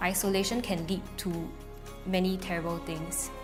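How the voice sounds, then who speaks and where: Music plays in the background as a woman speaks. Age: 20s. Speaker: family caregiver. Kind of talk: interview answer.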